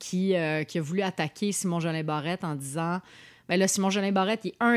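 In a very clean recording with a silent background, a woman with a normal speaking voice talks at a fairly low pitch with ordinary pitch variation. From Montreal, north of the island. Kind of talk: casual political chat.

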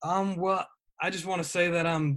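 Speaking with a plain, everyday voice, a man keeps a fairly quick pace and fairly even intonation. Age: 20s. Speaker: college student and sports writer. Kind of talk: casual chat.

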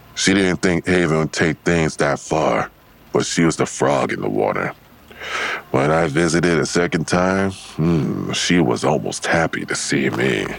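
A man uses a put-on character voice at an extremely low pitch, full of vocal fry. He speaks at a fairly slow pace with big pitch swings.

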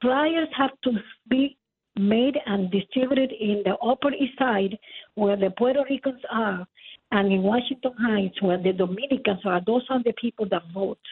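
A woman with an American accent speaks in an ordinary speaking voice at a moderate pace. Her pitch is fairly high, with ordinary pitch variation. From Queens, New York. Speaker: caller. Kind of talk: casual chat. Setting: phone call.

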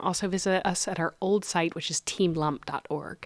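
This woman has an unremarkable speaking voice, with ordinary pitch variation and a moderate pace. The sound is dry and close, with no echo. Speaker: gallery director. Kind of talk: casual interview.

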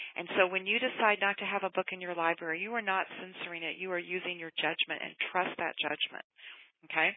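A woman with an ordinary speaking voice talks at a fairly quick pace in a medium pitch with fairly even intonation. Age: 50s. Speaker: middle school librarian. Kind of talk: interview.

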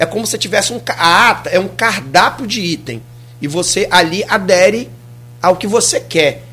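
Noticeable background noise sits behind speech at a moderate pace with lively intonation. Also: man, high pitch for a man. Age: 40s. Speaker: municipal sports director. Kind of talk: radio interview. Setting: radio studio.

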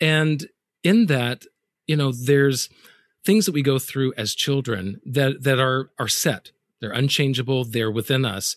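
An ordinary speaking voice with an American accent, ordinary pitch variation and a fairly slow pace. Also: man, medium pitch for a man. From US South. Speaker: podcast host. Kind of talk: casual interview.

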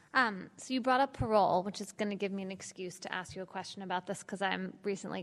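Talking very fast with vocal fry, a woman with a medium-pitched voice is heard in a very clean recording over a silent background. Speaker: author and journalist moderator. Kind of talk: moderated panel conversation. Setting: live event with audience.

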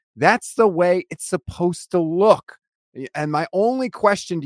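A man's voice swings very widely in pitch, the sound dry and close with no echo. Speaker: sports podcast host. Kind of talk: casual chat.

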